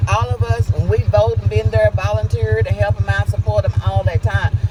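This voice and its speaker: An animated, fairly quick delivery over noticeable background noise. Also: man. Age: 60s. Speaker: local resident and activist. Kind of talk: interview.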